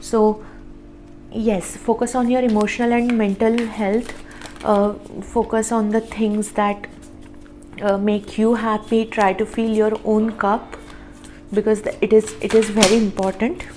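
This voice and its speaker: A woman with a non-native accent talks at a fairly slow pace in a fairly high pitch, leaving long, frequent pauses. Her intonation is monotone and flat, and there is noticeable background noise. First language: not English. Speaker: tarot reader. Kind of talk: tarot reading monologue. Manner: halting, frequent fillers and repeats.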